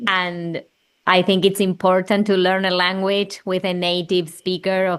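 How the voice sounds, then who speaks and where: A woman with an Argentine accent speaks at medium pitch and a fairly slow pace. Her intonation is monotone and flat against a quiet background. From Argentina. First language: Spanish. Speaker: children's music creator. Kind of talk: interview conversation.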